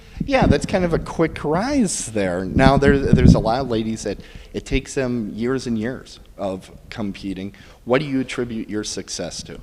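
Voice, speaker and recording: With an American accent, this speaker talks at a moderate pace with lively intonation and big swings in loudness over noticeable background noise. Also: man, medium pitch for a man. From US Midwest, Milwaukee, Wisconsin. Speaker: podcast interviewer. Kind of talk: interview. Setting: bridal shop.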